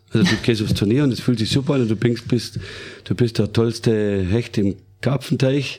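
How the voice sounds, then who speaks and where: Somewhat breathy, a man talks at a moderate pace and a medium pitch. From Germany, Baden-Württemberg. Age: 40s. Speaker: western riding champion and horse trainer. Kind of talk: casual interview.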